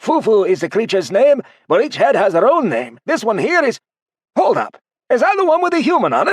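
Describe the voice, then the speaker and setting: In a put-on character voice, the speaker moves at a fairly quick pace with very wide pitch swings. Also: man, extremely high pitch for a man. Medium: read story. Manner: warm, chatty.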